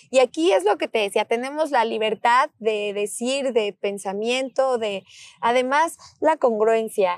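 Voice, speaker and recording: Speaking at a fairly slow pace with a Mexican accent, a woman comes through with a dry, close sound and no echo. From Mexico, Michoacán (Morelia). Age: 30s. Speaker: politician. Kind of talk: interview.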